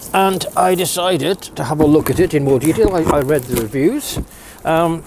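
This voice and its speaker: A man talks at a moderate pace with ordinary pitch variation against noticeable background noise. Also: fairly high pitch for a man. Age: 60s. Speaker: DIY video maker. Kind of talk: product review. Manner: hesitant, repeats words.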